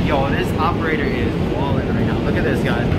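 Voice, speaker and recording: Loud noise fills the background. Beneath it, a man talks at a moderate speed. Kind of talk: casual vlog chat. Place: train. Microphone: phone near.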